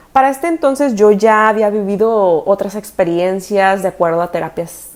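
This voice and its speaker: This woman talks at a fairly slow pace with a fairly high pitch and ordinary pitch variation. It is a plain, everyday voice. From Mexico, Tijuana. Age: 30s. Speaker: dentist and spiritual content creator. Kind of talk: personal storytelling monologue. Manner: casual, conversational.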